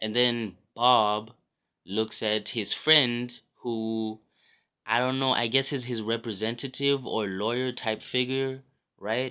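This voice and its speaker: A man talks at a very slow pace in a medium pitch, with long, frequent pauses. His intonation is monotone and flat. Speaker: vlogger. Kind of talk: personal vlog monologue. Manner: hesitant, many fillers.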